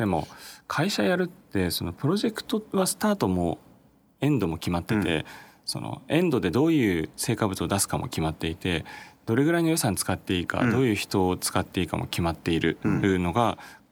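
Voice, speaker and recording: With very wide pitch swings, a man talks fairly quickly in a fairly low pitch. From Japan, Chiba. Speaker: startup founder and CEO. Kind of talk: interview.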